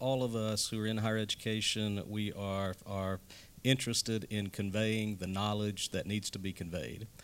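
An ordinary speaking voice from a man at a fairly low pitch, with fairly even intonation and a moderate pace. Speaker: university civic learning director. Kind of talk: live podcast interview.

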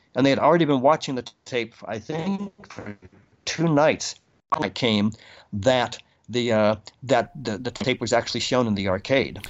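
This man has a plain, everyday voice with an American accent, a medium pitch, lively intonation and a moderate pace. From Boston, Massachusetts. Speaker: video game record keeper. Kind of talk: interview conversation.

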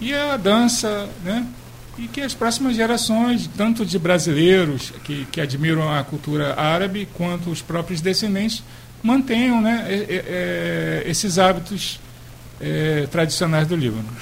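With very wide pitch swings, a man's high voice comes through audible room echo and noticeable background noise. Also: fairly slow pace. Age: young. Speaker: cultural association leader. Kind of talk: radio interview. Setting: radio studio.

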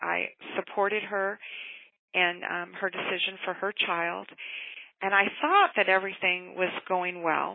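A plain, everyday voice from a woman at medium pitch, fairly even in intonation and fairly slow in pace. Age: 50s. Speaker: middle school librarian. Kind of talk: interview.

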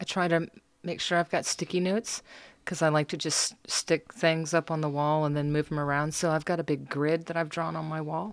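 Recorded very cleanly over silence, a woman with an American accent speaks fairly quickly in a very deep, low pitch and a flat monotone. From US, military bases, partly US South. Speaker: visual artist. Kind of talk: casual interview. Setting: studio.

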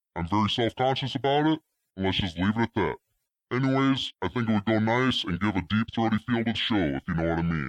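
Very fast and guttural, a man speaks with very even loudness against a quiet background, the sound dry and close with no echo. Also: lively intonation. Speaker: caller. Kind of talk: voicemail message. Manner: disguised deep throaty voice.

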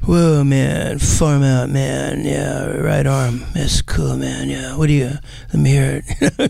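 A man's put-on character voice at a fairly slow pace, with light background noise. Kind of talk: slangy, 1960s-style. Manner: trying to sound cool.

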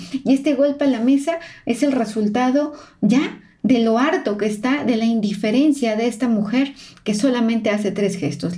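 A somewhat breathy woman with a dark, mellow tone and fairly high pitch, lively in intonation and moderate in pace. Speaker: body language analyst and podcast host. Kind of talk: narrated analysis of interview footage.

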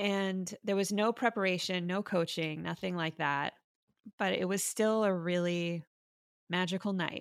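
In a dry, close recording with no echo, a woman with an American accent talks in a normal speaking voice at medium pitch, fairly slowly and with fairly even intonation, against a silent background in a very clean recording. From Miami, Florida. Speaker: physician and storytelling event creator. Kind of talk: interview conversation.

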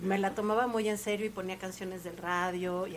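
With an unremarkable speaking voice, a woman speaks at a moderate pace, her medium pitch held in fairly even intonation. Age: 40s. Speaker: guest. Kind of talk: casual chat.

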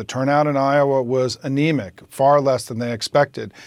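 Speaking at a moderate pace, a man with an American accent has a normal speaking voice and a fairly high pitch. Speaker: political strategist. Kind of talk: interview.

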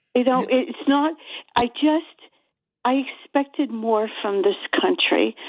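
The speaker has an American accent and lively intonation, with very even loudness. The pace is fairly slow, with long, frequent pauses. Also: woman. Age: 70s. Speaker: caller. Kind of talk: casual chat. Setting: phone call.

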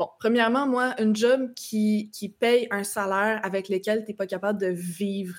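A woman with an unremarkable speaking voice, medium pitch, fairly even intonation and a moderate pace. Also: very clean recording, silent background. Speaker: political commentator. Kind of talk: casual political discussion.

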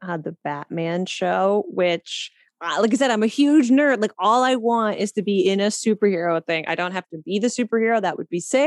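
An unremarkable speaking voice with a Canadian accent and ordinary pitch variation. The sound is dry and close with no echo, over a quiet background. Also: woman. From Canada, East Coast. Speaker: actress and writer. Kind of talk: casual interview chat.

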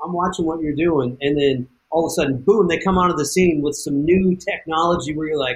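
An American accent marks this man's ordinary speaking voice, which is fairly high in pitch. His pace is moderate, with ordinary pitch variation. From US West. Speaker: off-road racer. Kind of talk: casual interview.

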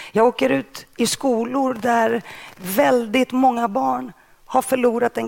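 A woman speaks at a very slow pace with a Greek accent. Her pitch is fairly high. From Stockholm suburb (Rinkeby), born in Greece. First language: Greek (speaking Swedish). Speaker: journalist and author. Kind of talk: interview. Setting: stage with audience.

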